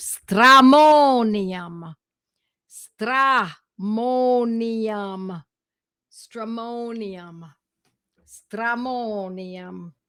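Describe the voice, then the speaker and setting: Using a put-on character voice, a woman speaks raspily at a fairly high pitch and a very slow pace. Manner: playful, emphatic repetition.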